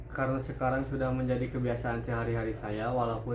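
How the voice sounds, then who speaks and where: A man speaking at a very fast pace, with audible room echo and noticeable background noise. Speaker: interviewee, young smoker. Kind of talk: interview answers.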